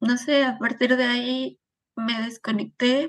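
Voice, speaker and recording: Recorded dry and close with no echo, a woman speaks at a high pitch in a monotone, flat intonation. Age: 30s. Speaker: suicide loss survivor. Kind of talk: testimony.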